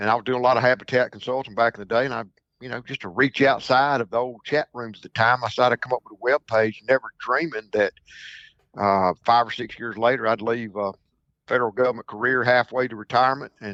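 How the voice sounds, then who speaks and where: A man with a Mississippi accent talks at a very fast pace with fairly even intonation and big swings in loudness. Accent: Mississippi Southern. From Mississippi Delta, US South. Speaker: duck hunting broker. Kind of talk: podcast interview. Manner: halting, repeats words.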